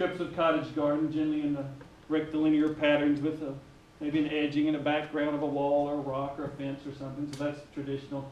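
A man talks at a very fast pace in a monotone, flat delivery. Audible room echo and light background noise surround his voice. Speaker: presenter. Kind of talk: lecture. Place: hall. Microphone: camera far.

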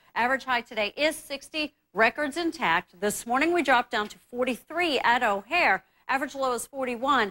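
Raised and projected, a woman's voice has a bright, sharp tone. She uses lively intonation at a moderate pace. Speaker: TV presenter. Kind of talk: weather forecast commentary. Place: studio.

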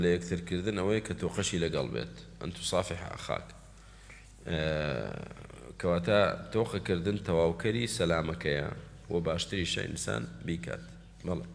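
In a Kurdish accent, a man with a very deep, low pitch talks at a fairly slow pace with very wide pitch swings. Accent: Kurdish (Sorani). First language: Kurdish (speaking Arabic). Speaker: Islamic teacher explaining hadith. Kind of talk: religious lecture. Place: hall.

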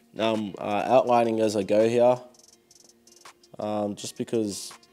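Monotone, flat intonation from a man, with music in the background. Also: medium pitch for a man, fairly slow pace. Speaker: painter / artist vlogger. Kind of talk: casual narration while painting. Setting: home studio, TV on in background.

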